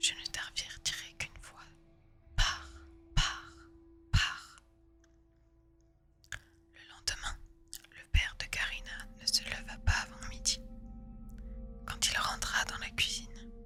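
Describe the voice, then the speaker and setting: Whispering at a very slow pace with long, frequent pauses, a woman speaks over music in the background. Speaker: ASMR artist. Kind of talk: read story. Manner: whispered.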